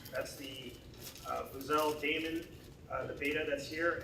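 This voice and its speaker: Over noticeable background noise and audible room echo, a man with a fairly high pitch talks at a fairly quick pace with fairly even intonation. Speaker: tech company CTO. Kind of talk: presentation. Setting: hackathon event with audience. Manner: loud.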